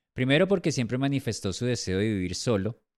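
A man uses a normal speaking voice at medium pitch with lively intonation. The recording is very clean, dry and close, with a silent background and no echo. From Colombia. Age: 40s. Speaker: podcast host. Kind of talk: personal testimony monologue.

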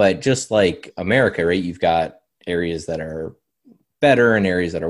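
Over a silent background on a very clean recording, a man with a Canadian accent talks at a fairly quick pace in a very deep, low pitch with ordinary pitch variation. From Canada. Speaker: algorithmic trader and trading software consultant. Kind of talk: interview.

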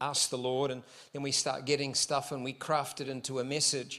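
Over a silent background in a very clean recording, a man with a New Zealand accent speaks at a moderate pace in a bright, sharp tone with monotone, flat intonation. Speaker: visiting pastor. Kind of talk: sermon. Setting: church service.

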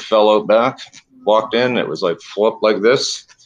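A man talks at a moderate pace. His is an unremarkable speaking voice, fairly low in pitch. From Canada, Toronto. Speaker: natural food store owner. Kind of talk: casual interview.

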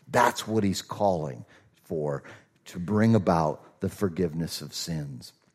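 A man talks at a fairly slow pace. He has a slight Southern US accent. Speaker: pastor. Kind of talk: sermon. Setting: church.

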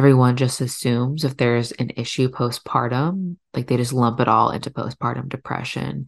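A woman with a very deep, low pitch and vocal fry speaks at a moderate pace with hardly any pauses and fairly even intonation against a quiet background. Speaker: podcast host and doula. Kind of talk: solo podcast monologue.

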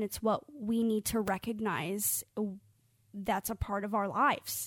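A woman's plain, everyday voice, fairly high in pitch with fairly even intonation at a moderate pace, on a very clean recording with a silent background. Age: 20s. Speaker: mental health podcast co-host. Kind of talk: casual chat.

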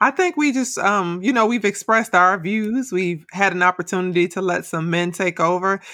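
A woman's medium-pitched voice with ordinary pitch variation, a moderate pace and hardly any pauses, in a very clean recording with a silent background. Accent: American. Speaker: podcast host, educator. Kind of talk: casual chat.

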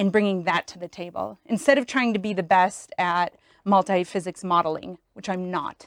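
A woman with an American accent uses a normal speaking voice at medium pitch and moderate pace, the sound dry and close with no echo. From Wisconsin. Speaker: chemical engineer. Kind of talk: casual chat.

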